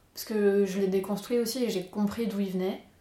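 A woman keeps her intonation fairly even as noticeable noise sounds in the background. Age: 20s. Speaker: interview guest, artist. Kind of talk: casual interview, personal story.

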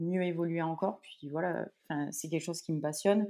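The woman has a fairly low pitch and a dark, mellow tone, with fairly even intonation. The background is quiet. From France. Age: 30s. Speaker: professional triathlete. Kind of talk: interview.

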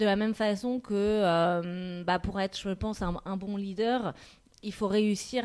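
On a very clean recording with a silent background, a woman with an ordinary speaking voice talks at a fairly slow pace and medium pitch with fairly even intonation. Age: 40s. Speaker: marketing director. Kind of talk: interview.

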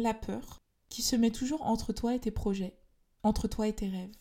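On a very clean recording with a silent background, a woman speaks in a fairly high, somewhat breathy voice with a dark, mellow tone and fairly even intonation. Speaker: podcast host, personal development and spirituality. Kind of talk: solo monologue podcast.

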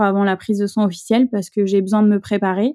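A woman speaks at a fairly quick pace with a fairly high pitch and a dark, mellow tone, recorded very cleanly against a silent background with a dry, close sound and no echo. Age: 30s. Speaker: nurse and mother sharing infertility story. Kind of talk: testimony. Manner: hesitant, many fillers.

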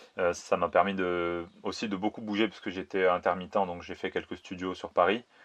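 A man with a very deep, low voice speaks at a fairly quick pace in a monotone, flat intonation. His loudness swings widely against a quiet background. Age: 30s. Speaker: video director and 3D artist. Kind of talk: interview. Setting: remote interview during lockdown in Spain.

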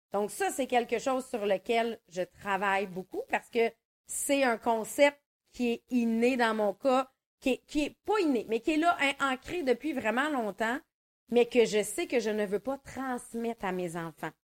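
In an ordinary speaking voice, a woman with a fairly high pitch and lively intonation speaks at a fairly slow pace, with a dry, close sound with no echo on a very clean recording with a silent background. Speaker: podcast co-host, mindset coach. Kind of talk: casual chat. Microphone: mono recording with slight distortion.

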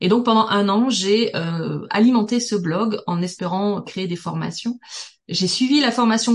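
Somewhat breathy and fairly slow, a woman speaks at a medium pitch with ordinary pitch variation. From southern France, Toulouse. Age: 40s. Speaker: business networking expert. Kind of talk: podcast interview.

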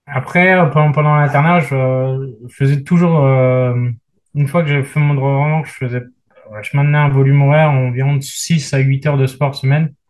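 A man talks at a moderate pace in a somewhat breathy, fairly high voice, his intonation monotone and flat and his loudness very even. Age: 30s. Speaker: general practitioner and paratriathlete. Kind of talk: casual interview.

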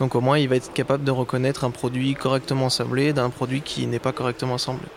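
Noticeable background noise behind a man, medium in pitch and fairly quick in pace. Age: 20s. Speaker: project manager at a tech start-up. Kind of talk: interview. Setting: live at a trade fair.

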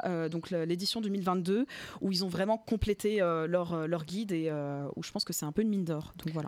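A woman speaks with ordinary pitch variation. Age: 20s. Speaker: communication agency founder. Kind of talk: interview. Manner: hesitant with many fillers.

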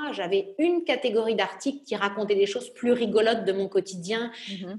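Over noticeable background noise, a woman at medium pitch speaks at a moderate pace with lively intonation and big swings in loudness. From southern France, Nice. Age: 30s. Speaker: entrepreneur. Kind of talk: interview.

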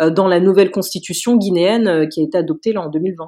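In an ordinary speaking voice, a woman talks at a fairly quick pace with medium pitch and ordinary pitch variation, recorded very cleanly against a silent background. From Paris region, France. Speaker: lawyer. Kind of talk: interview.

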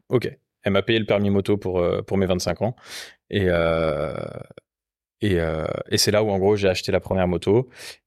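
In a very clean, dry and close recording with a silent background and no echo, a man with a fairly low pitch talks at a moderate pace, with long, frequent pauses, fairly even intonation and very even loudness. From Rennes, Brittany, France. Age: 30s. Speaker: motorcycle workshop co-owner. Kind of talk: casual chat. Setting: motorcycle workshop.

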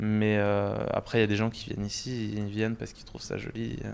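Medium pitch and a moderate pace from a man. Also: very clean recording, silent background. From Paris area, France. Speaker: restaurant owner. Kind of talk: interview. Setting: in his restaurant. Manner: halting, many repetitions and fillers.

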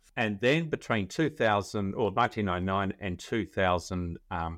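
Against a quiet background, a man talks with fairly low pitch and ordinary pitch variation, the sound dry and close with no echo. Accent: Australian. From Australia. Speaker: legal tech founder, former lawyer. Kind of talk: interview.

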